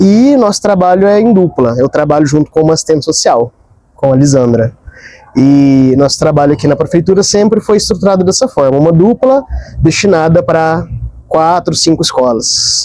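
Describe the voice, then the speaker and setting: Speaking at a moderate pace, a man with a fairly high pitch uses lively intonation in a dark, mellow tone. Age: 30s. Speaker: school psychologist. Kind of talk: interview.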